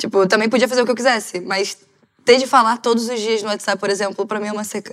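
This woman talks very fast in a fairly high pitch, her intonation flat and monotone. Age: 20s. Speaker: panel guest. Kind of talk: casual chat.

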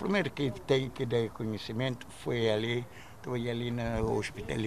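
A man's voice with noticeable background noise. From Cape Verde, Santiago island. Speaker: retired immigrant miner. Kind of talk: interview testimony. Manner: halting.

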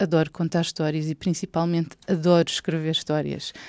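A woman speaks at a fairly quick pace. Her voice is fairly low, with a dark, mellow tone. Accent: European Portuguese. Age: 40s. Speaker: children's book author and journalist. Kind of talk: personal storytelling for children.

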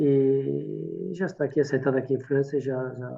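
Pitch variation in this man's voice is ordinary. He keeps a moderate pace. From France (Portuguese emigrant family, born in Minho). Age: 60s. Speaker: winemaker. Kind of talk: interview. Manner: halting.

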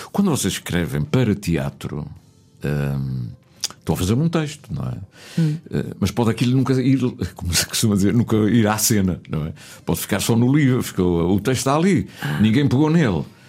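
A man's fairly low voice with very wide pitch swings, over noticeable background noise. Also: moderate pace. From Azores (São Miguel / Pico). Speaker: radio host. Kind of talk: casual interview. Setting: radio studio.

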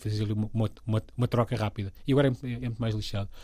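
A man speaks in a somewhat breathy voice. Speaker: comedy writer and voice actor. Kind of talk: casual interview.

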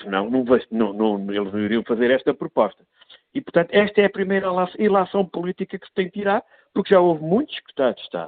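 A high-pitched man at a very fast pace, with very wide pitch swings and big swings in loudness. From Portugal, son of emigrants in France. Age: 50s. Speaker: member of parliament. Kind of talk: political commentary. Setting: remote, abroad on official trip. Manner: repeats words when starting sentences.

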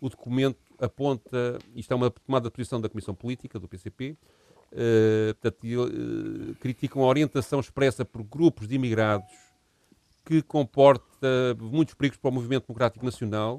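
An unremarkable speaking voice from a man at medium pitch, moderate pace and fairly even intonation, with big swings in loudness and a dry, close sound with no echo. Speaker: history podcast co-host. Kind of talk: casual chat.

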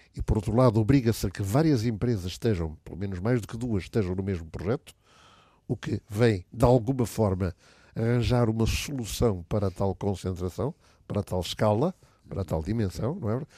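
The voice has a dark, mellow tone and ordinary pitch variation, moving at a fairly quick pace. The recording is very clean and dry, close-sounding with no echo and a silent background. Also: man, fairly low pitch for a man. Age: 70s. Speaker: business association leader. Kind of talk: radio panel discussion.

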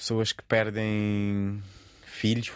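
The speaker is a man with a fairly low pitch. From Cape Verde. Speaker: stand-up comedian. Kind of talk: interview.

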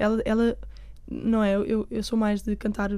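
A woman is speaking. Her tone is dark and mellow. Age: 20s. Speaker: singer-songwriter. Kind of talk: interview.

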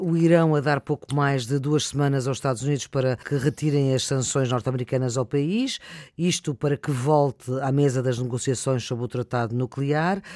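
A man with a normal speaking voice talks at a moderate pace and a fairly high pitch, with hardly any pauses. His intonation is fairly even, and the sound is dry and close with no echo. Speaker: radio host. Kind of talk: radio panel moderation. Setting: remote, each in own place.

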